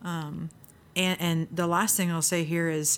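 A woman with a plain, everyday voice and an American accent speaks at a moderate pace and fairly low pitch on a very clean recording with a silent background. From US Midwest. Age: 30s. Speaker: seminary leadership center director, author. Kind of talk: interview conversation.

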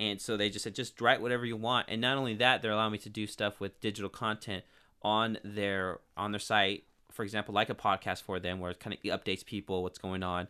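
Talking at a very fast pace, a man with a fairly low voice speaks with a Californian accent. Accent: Californian American. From Northern California (Turlock area). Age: 30s. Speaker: local TV and sports broadcaster. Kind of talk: casual interview. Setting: studio. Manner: energetic.

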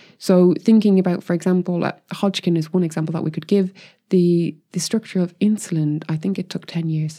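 Speaking with an Irish accent, the voice moves at a fairly quick pace in a dark, mellow tone. The intonation stays flat and monotone, and the recording is very clean with a silent background. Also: woman, fairly low pitch for a woman. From Ireland. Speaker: chemist and crystallography scientist. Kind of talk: casual chat.

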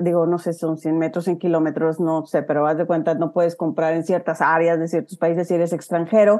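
Her pitch sits fairly low for a woman. She keeps a moderate pace. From Huasteca, Mexico. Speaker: real estate investor. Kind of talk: casual interview.

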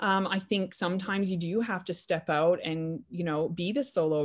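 A woman with a normal speaking voice and a Canadian accent talks at a moderate pace, her fairly low pitch showing ordinary variation. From Canada, New Brunswick. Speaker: orthopedic surgeon. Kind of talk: interview. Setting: remote call.

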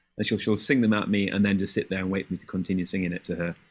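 Very fast and fairly low-pitched, a man speaks with an English accent in a very clean recording with a silent background. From England. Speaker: middle school music teacher. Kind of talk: casual chat.

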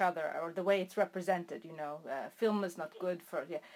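This woman speaks with an American accent and lively intonation. Her pace is moderate. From Irish American. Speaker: interviewer. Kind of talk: interview. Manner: halting.

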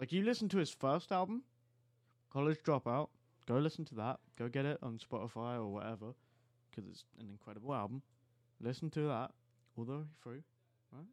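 A man with an English accent at a moderate pace, lively in intonation, with big swings in loudness, long, frequent pauses and a dry, close sound with no echo. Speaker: podcast host. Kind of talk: casual chat. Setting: studio.

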